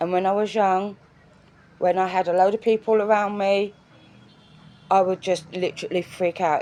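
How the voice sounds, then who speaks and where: With an English accent, a woman talks in a dark, mellow tone with a flat, monotone intonation. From England. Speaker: vlogger. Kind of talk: personal video diary. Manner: halting.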